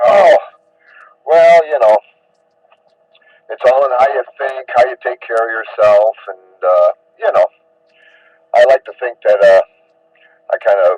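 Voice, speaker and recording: With a dry, close sound and no echo, a man talks at a fairly slow pace. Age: 50s. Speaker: ham radio operator. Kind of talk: casual chat.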